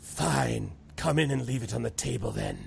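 A man puts on a raspy character voice with a very deep, low pitch, delivered at a moderate pace. Clear background noise is present. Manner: gruff, grudging.

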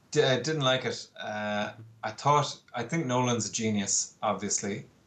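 A man with an Irish accent speaks at a fairly slow pace. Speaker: poster artist and illustrator. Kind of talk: casual interview. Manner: calm.

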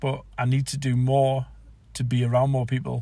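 The tone is dark and mellow, with a somewhat breathy quality. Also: man. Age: 40s. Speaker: podcaster. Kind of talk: solo reflective monologue. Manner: halting.

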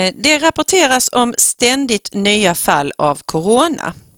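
A woman speaks with very wide pitch swings. The sound is dry and close, without echo. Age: 40s. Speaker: school principal, podcast co-host. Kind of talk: casual chat. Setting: studio.

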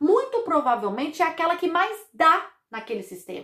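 This woman's voice is extremely high-pitched, with a bright, sharp tone. Her animated tone moves through very wide pitch swings. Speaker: podcast host on family constellation therapy. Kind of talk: casual monologue about songs.

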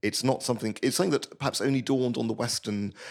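On a very clean recording with a silent background, a man talks with a British accent. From Britain. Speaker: journalist and former priest. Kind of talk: interview. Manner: halting.

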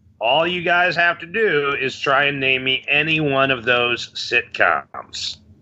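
A fairly high-pitched man with an American accent, at a fairly slow pace with hardly any pauses, ordinary pitch variation, and noticeable background noise. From Chicago, Illinois. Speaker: trivia company owner and quiz guest. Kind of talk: trivia game chat, reading questions.

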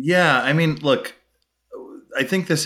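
Vocal fry runs through a man's speech in an American accent. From US Northeast, Brooklyn, New York. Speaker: tech startup CEO. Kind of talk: interview. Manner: casual.

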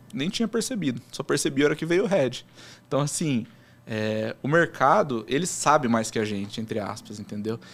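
Very wide pitch swings mark this moderate-paced speech in a very clean recording with a silent background. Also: man, fairly high pitch for a man. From São Paulo interior, Americana. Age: 20s. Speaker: sports betting trader. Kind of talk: casual interview.

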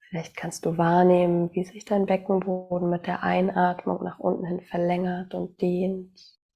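Music plays in the background as a woman speaks at a fairly slow pace with hardly any pauses. Her voice is fairly low in pitch, with monotone, flat intonation. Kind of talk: guided meditation. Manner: slow, soft-spoken, calm and soothing.

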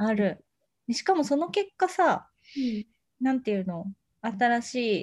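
A woman's high voice with very wide pitch swings, a fairly slow pace and long, frequent pauses. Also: big swings in loudness. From Japan, Ishikawa Prefecture. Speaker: podcast co-host. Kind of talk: casual chat. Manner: animated, frequent laughter.

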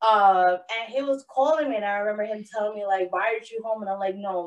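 A loud, animated voice in a New York accent at a fairly quick pace. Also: woman. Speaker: podcast co-host. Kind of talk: casual chat.

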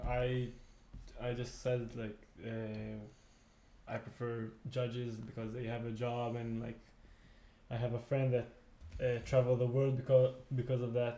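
With a dark, mellow tone, a man speaks at a fairly slow pace in a monotone, flat intonation, leaving long, frequent pauses amid audible room echo. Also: medium pitch for a man. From Israel (Tel Aviv). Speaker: beach tennis player. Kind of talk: casual chat. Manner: halting.

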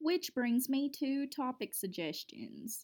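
Speaking in a Kentucky accent at a fairly slow pace, a woman uses a high pitch with very wide pitch swings. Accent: Southern US (Kentucky). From Kentucky, US. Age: 20s. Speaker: podcast host and college student. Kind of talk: casual solo podcast monologue. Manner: chatty, talkative, somewhat hesitant with filler words.

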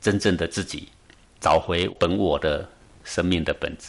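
Here a man is talking. His pace is fairly slow. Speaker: meditation teacher. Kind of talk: interview.

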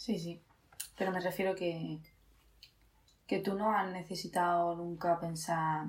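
This woman's voice sits fairly low. Her intonation is monotone and flat. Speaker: podcast co-host. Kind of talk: casual chat.

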